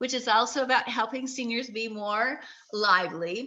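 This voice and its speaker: A woman speaks at a moderate pace with a fairly high pitch. Her tone is animated, bright and sharp. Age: 60s. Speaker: inspirational video host. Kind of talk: live-stream motivational talk.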